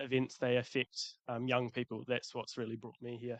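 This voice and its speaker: Man with a New Zealand accent, medium pitch and monotone, flat intonation, fairly slow pace, dry, close sound with no echo. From New Zealand, Christchurch. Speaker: youth climate advocate. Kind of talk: panel discussion. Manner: halting, many fillers.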